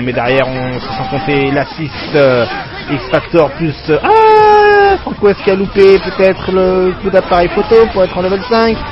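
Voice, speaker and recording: Crowd noise fills the background as a man speaks in an animated tone, high-pitched and with very wide pitch swings. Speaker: esports commentator. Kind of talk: live commentary.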